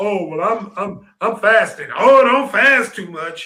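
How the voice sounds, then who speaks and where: Raising and projecting his voice, a man speaks at a moderate pace with a high pitch and a bright, sharp tone. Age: 60s. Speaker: talk show host. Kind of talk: casual chat.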